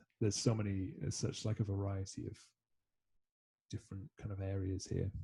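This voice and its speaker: A man's fairly low, dark, mellow voice, somewhat breathy, with fairly even intonation at a moderate pace. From Scotland. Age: 20s. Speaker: musician. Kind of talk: casual interview chat. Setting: video call.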